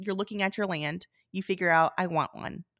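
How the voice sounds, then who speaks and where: A woman's ordinary speaking voice, fairly low in pitch, with fairly even intonation and a moderate pace in a very clean recording with a silent background. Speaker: flower farmer and podcast host. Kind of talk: casual chat.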